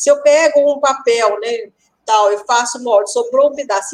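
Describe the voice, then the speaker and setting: A woman speaks in a high-pitched voice. Her pitch varies in an ordinary way. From rural Brazil. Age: 50s. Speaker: pattern-making teacher. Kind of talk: live podcast interview.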